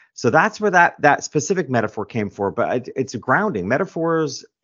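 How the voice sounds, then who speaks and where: This man talks at a fairly quick pace with an American accent. His pitch swings very widely. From New York. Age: 50s. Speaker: author and business coach. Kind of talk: interview.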